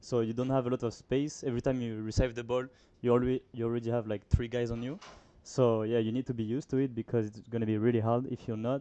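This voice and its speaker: A man's voice sits at a medium pitch with a dark, mellow tone. His intonation stays fairly even. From France. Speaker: soccer player. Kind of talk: post-game interview.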